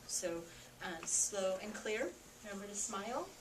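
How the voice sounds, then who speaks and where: Amid noticeable background noise and audible room echo, a woman talks at a medium pitch and a moderate pace. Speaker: teacher. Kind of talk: informational talk to students and parents. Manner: casual, many fillers.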